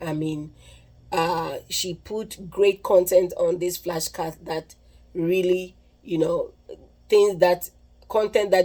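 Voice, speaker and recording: With a Ghanaian accent, a woman speaks very slowly in a dark, mellow tone at a fairly low pitch, her intonation monotone and flat while her loudness swings widely. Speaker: nursing vlogger. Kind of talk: casual tutorial. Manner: halting, with repeated words and restarts.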